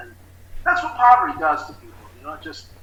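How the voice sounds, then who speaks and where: A man's speech carries audible room echo, with noticeable noise in the background. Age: 60s. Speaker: recovery specialist. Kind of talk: interview testimony. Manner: halting, many fillers.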